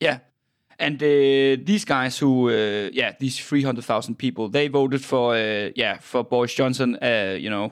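With a Danish accent, a man talks at a fairly slow pace. His medium pitch shows ordinary pitch variation. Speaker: podcast host. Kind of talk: interview. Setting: internet call. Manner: halting.

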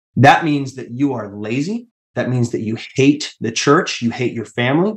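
With an American accent, a man speaks at a moderate pace in an unremarkable speaking voice. His medium pitch shows ordinary variation. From Washington State, US (Tacoma). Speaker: cult survivor. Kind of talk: testimony.

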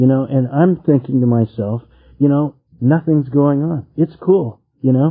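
A normal speaking voice from a man with an American accent, fairly high pitch and ordinary pitch variation, at a fairly slow pace. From California. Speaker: meeting leader. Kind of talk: recovery meeting share.

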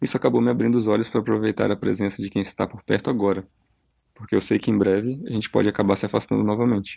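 Very fast and dark, mellow in tone, a man's fairly low voice rushes along. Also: fairly even intonation. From Brazil. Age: 30s. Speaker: listener sending a voice message. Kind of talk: recorded voice message.

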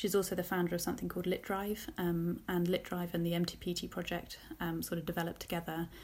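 Somewhat breathy, monotone, flat speech in a southern English accent rushes by at a very fast pace. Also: woman, fairly low pitch for a woman. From southern England, Luton. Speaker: teacher and education project founder. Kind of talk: interview. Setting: remote recording from home.

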